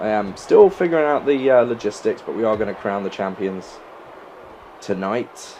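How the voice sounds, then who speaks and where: A man with an English accent, with noticeable background noise. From England. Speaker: gaming YouTuber. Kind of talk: gameplay commentary. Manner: fast.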